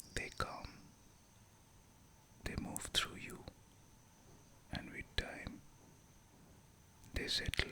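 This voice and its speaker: Whispering at a very slow pace in a calm tone, the speaker leaves long, frequent pauses against noticeable background noise. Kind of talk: guided meditation. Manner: whispered; slow, calm.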